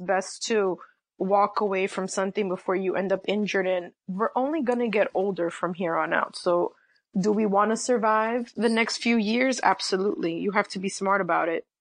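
Against a quiet background, a woman with a plain, everyday voice speaks at a moderate pace. Her medium pitch follows a fairly even intonation. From New York City. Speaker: sports writer. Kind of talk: casual interview.

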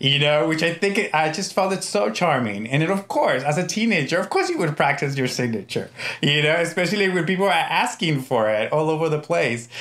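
Over noticeable background noise, a man talks at a fairly quick pace with hardly any pauses and very even loudness. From US, Mexican-American family. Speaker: TV showrunner. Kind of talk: interview. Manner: hesitant, many fillers.

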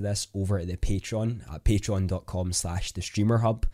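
In a Scottish accent, a man with a dark, mellow tone speaks at a moderate pace with fairly even intonation on a very clean recording with a silent background. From Scotland. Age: 20s. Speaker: podcast host, content creator. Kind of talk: solo podcast monologue.

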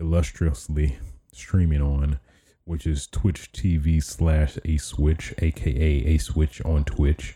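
Very slowly, a man speaks in a very deep, low pitch with fairly even intonation. His tone is dark and mellow, and somewhat breathy. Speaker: gaming podcaster and streamer. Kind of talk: casual podcast chat. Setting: live stream. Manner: hesitant, many fillers.

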